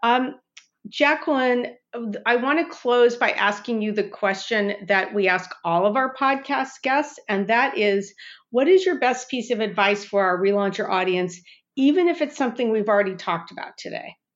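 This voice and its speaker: Here a woman with an ordinary speaking voice talks with a fairly high pitch and lively intonation. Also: moderate pace. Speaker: podcast host. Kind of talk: interview questions, friendly.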